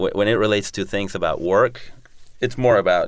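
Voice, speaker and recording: A speaker with a Spanish accent talks at a fairly quick pace. The recording is very clean, with a silent background. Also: man. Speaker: entrepreneur. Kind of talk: interview.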